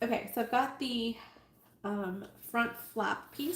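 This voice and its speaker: With noticeable background noise behind her, a woman's fairly high voice shows ordinary pitch variation. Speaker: sewing livestreamer. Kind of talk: live sewing tutorial. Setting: livestream. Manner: animated.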